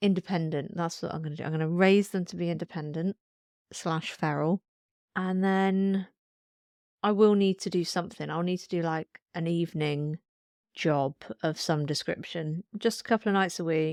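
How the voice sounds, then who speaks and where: An unremarkable speaking voice from a woman, moderately paced with fairly even intonation, dry and close with no echo. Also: fairly low pitch for a woman. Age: 30s. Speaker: podcast co-host, mother. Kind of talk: casual chat. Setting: home, on the sofa.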